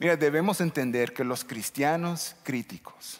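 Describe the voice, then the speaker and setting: A man with an English accent, at a fairly slow pace with ordinary pitch variation. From United States. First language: English (speaking Spanish). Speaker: pastor. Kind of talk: sermon. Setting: church.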